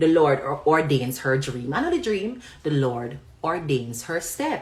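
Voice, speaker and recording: Speaking at a fairly slow pace, a woman has a very deep, low, somewhat breathy voice. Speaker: online commentator. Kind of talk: live stream chat.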